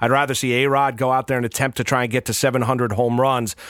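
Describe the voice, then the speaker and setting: A man with a New York accent speaks fairly quickly in a flat monotone at a medium pitch. The recording is very clean, with a silent background. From New York, Rockland County. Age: 40s. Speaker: sports radio and TV host. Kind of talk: casual interview. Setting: studio.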